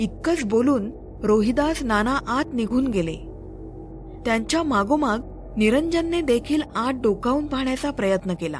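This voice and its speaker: A woman with a high pitch and lively intonation speaks over music in the background. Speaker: storyteller, podcast host. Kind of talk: audio story narration, horror storytelling podcast.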